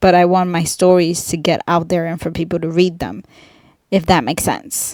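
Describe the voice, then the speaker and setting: The speaker uses fairly even intonation and has a non-native accent. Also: woman, fairly low pitch for a woman, moderate pace. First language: not English. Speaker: indie author. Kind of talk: casual vlog monologue. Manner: halting, many ums and awkward pauses.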